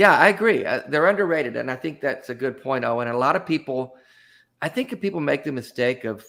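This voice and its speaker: A man with an American accent, vocal fry and a bright, sharp tone at a medium pitch, lively intonation, very clean recording with a silent background. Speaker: talk show host and author. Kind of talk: casual chat. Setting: live stream show. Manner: halting with repeated words.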